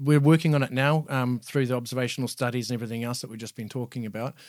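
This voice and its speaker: Talking very fast with a New Zealand accent, a man keeps a medium pitch and fairly even intonation. The recording is very clean, with a silent background. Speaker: user experience designer, product team. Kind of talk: interview answers.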